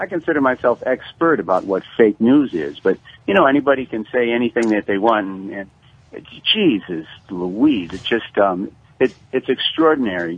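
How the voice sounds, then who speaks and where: Speaking at a moderate pace in an unremarkable speaking voice, a man of medium pitch uses lively intonation with big swings in loudness. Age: 60s. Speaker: history teacher, caller. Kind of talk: radio call-in.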